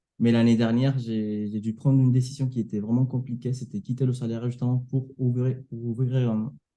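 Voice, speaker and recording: Speaking at a fairly quick pace with hardly any pauses, a man with a Latin American Spanish accent uses a medium-pitched, dark, mellow tone and monotone, flat intonation. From Venezuela. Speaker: sales closer and coach. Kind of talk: interview testimony. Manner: halting, with repetitions and fillers.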